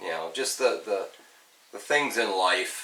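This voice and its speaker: As a man speaks, both noticeable background noise and audible echo from the room come through. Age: 60s. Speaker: car restoration youtuber. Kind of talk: casual vlog talk. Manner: halting, many fillers.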